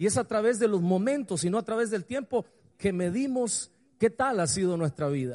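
With an animated tone and lively intonation, a man speaks in a high pitch at a moderate pace. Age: 40s. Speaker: pastor. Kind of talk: sermon.

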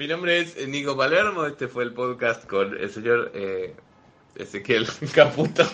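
At a fairly slow pace, a man with a fairly high pitch speaks in a bright, sharp, animated tone with lively intonation. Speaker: comedian and podcast host. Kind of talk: casual chat.

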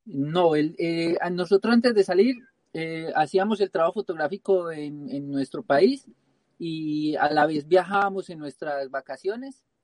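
Here a man speaks in a high voice at a fairly slow pace, his loudness swinging widely. Pitch variation is ordinary, and the sound is dry and close with no echo. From Colombia, Pereira (coffee region). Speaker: travelling photographer. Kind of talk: live-streamed interview.

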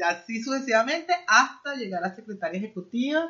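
A woman with an unremarkable speaking voice at a fairly slow pace and ordinary pitch variation. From Venezuela. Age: 50s. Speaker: immigrant guest, former manager. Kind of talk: interview.

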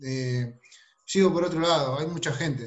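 With a plain, everyday voice, a man talks at a moderate pace, his fairly high pitch showing ordinary variation. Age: 30s. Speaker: salesperson. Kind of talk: video call team meeting.

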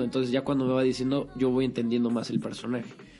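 A man with a medium-pitched voice talks very fast over music in the background. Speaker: acting student. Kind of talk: casual chat.

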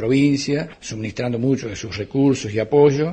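A man talks in an ordinary speaking voice at a fairly quick pace, with ordinary pitch variation. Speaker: provincial health official. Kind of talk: interview soundbite.

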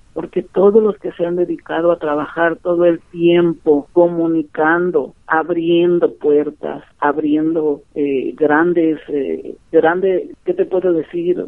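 The woman's pitch sits fairly low and her intonation stays fairly even. She talks at a very slow pace. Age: 50s. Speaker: community radio broadcaster. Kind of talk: interview. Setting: phone call.

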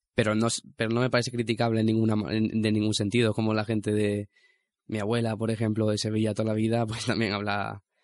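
At a very fast pace, a man with a fairly low pitch speaks in a monotone, flat intonation. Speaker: radio host. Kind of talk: casual radio chat. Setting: studio.

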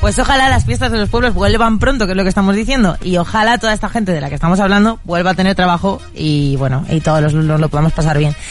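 A woman's very fast, medium-pitched speech with lively intonation and hardly any pauses, music in the background. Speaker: radio host. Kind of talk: casual chat.

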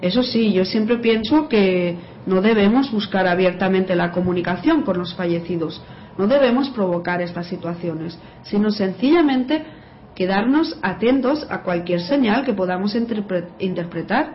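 Amid audible room echo, a woman at medium pitch speaks with lively intonation. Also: moderate pace. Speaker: writer and graphologist. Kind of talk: radio interview, explanatory.

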